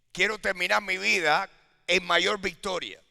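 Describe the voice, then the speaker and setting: On a very clean recording with a silent background, a man uses a raised, projected voice with a bright, sharp tone. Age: 70s. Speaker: pastor. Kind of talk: sermon. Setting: church.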